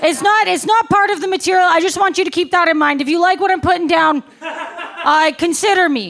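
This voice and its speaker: Over noticeable background noise, a woman with an extremely high pitch talks at a fairly quick pace with hardly any pauses, very even loudness and ordinary pitch variation. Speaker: stand-up comedian. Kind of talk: live stand-up comedy set. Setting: live comedy club audience. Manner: matter-of-fact delivery.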